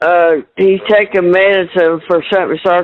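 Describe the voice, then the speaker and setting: At a moderate pace, a woman talks with a rural Southern US accent. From Kentucky. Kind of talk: phone call with family.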